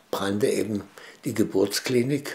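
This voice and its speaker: This man talks at a fairly slow pace, his voice somewhat breathy with ordinary pitch variation. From Dresden, Saxony; Saxony, Germany. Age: 70s. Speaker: eyewitness interviewee; witness. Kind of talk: interview testimony. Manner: halting, many fillers. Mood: calm, reflective recollection. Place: home room.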